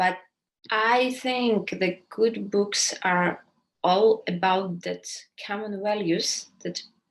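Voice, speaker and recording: Very slowly, a woman with a Ukrainian accent speaks with fairly even intonation. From Ukraine. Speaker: writer. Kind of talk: interview Q&A.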